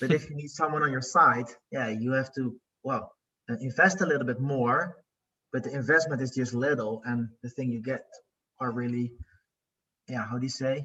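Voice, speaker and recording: A man talks at a medium pitch with fairly even intonation. Long pauses come often. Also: moderate pace. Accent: Dutch. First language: Dutch. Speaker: coaching client, business owner. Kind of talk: interview. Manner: halting.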